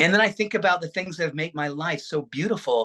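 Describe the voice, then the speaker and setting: The man's voice is bright and sharp, fairly high in pitch with ordinary variation, animated in tone, and recorded with a dry, close sound and no echo. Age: 60s. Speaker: wellness speaker. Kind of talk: talk to online audience.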